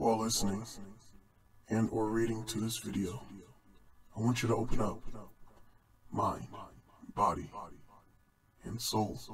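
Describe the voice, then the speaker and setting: A put-on character voice with long, frequent pauses. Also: man, medium pitch for a man, moderate pace. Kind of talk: short film dialogue. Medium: stage. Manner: mocking, menacing.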